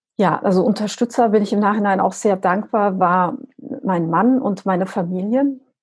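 A somewhat breathy woman at a moderate pace with ordinary pitch variation. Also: medium pitch for a woman, very even loudness. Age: 40s. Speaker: business coach and extreme runner. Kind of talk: interview.

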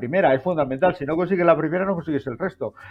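The man's voice sits at a high pitch. His pitch variation is ordinary. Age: 60s. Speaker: TV presenter and journalist. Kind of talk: casual chat.

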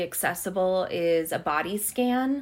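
An unremarkable speaking voice with an American accent and ordinary pitch variation comes through a very clean recording with a silent background. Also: woman. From Montana, US. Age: 30s. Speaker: artist and historian, PhD student. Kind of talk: interview conversation.

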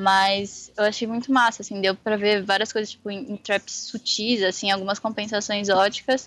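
This woman has an unremarkable speaking voice at a medium pitch. She keeps a moderate pace and fairly even intonation. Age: 20s. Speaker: design student and calligrapher. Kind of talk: casual interview.

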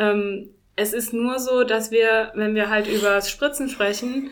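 A woman with a plain, everyday voice speaks fairly slowly at a fairly high pitch with fairly even intonation. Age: 40s. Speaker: winemaker. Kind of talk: interview.

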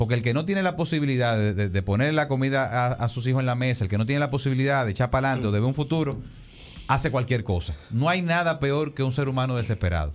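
A man's very fast, lively speech at a medium pitch, with very even loudness. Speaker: political candidate. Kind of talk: interview.

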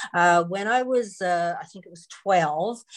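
At a fairly slow pace, a woman speaks in a fairly low voice with ordinary pitch variation. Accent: Newfoundland. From Newfoundland and Labrador, Canada. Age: 60s. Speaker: author and former counselor. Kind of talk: interview testimony.

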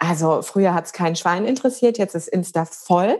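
Her medium-pitched voice is an unremarkable speaking voice, with ordinary pitch variation as the woman talks. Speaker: coach and yoga teacher. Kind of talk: casual interview chat.

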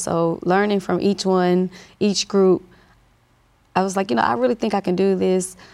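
The voice has a Southern US accent and a dark, mellow tone, with ordinary pitch variation at a moderate pace. Loudness stays very even on a very clean recording with a silent background. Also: woman. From US South, north Louisiana (Monroe). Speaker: nurse and clinic owner. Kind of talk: interview.

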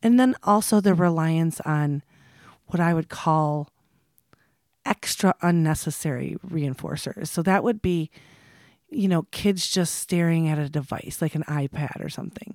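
In an unremarkable speaking voice, a woman talks fairly slowly at a fairly low pitch with ordinary variation, the sound dry and close with no echo. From Michigan, US (Midland area). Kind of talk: interview.

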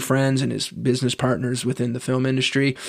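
A man's medium-pitched, unremarkable speaking voice with a Canadian accent, at a fairly quick pace with fairly even intonation. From Canada. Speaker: podcast host. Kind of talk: casual chat.

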